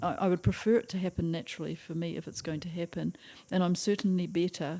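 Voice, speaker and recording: A woman with a New Zealand accent, fairly low pitch and ordinary pitch variation, at a fairly quick pace, in a very clean recording with a silent background. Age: 80s+. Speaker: retired school teacher. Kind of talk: interview answer.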